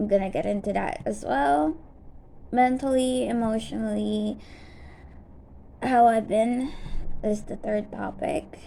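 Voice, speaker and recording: A woman mumbles at a fairly slow pace. She leaves long, frequent pauses. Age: 20s. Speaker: vlogger. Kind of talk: personal vlog update. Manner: stutters and mumbles; halting, many fillers.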